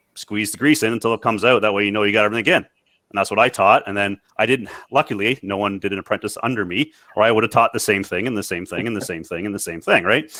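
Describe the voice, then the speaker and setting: This man talks very fast with a Canadian accent, his fairly low pitch moving with ordinary variation. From Canada. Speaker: maintenance reliability technology director. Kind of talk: panel discussion.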